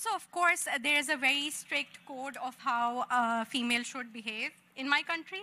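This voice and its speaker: A woman's high, bright, sharp voice, raised and projected, at a moderate pace with ordinary pitch variation. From Pakistan. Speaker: tech panelist. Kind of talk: panel discussion. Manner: animated.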